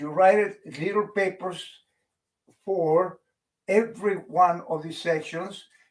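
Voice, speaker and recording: A man's high voice with a non-native accent, very slow and fairly even in intonation, with long, frequent pauses and big swings in loudness. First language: not English. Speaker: public speaking coach. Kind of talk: tutorial.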